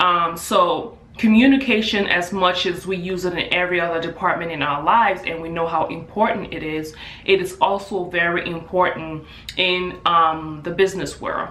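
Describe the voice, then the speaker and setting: At a moderate pace, a woman with an African accent speaks at a fairly low pitch with fairly even intonation. Noticeable background noise and audible room echo are present. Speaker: hairstylist and beauty business owner. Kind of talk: vlog tutorial. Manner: casual with filler words.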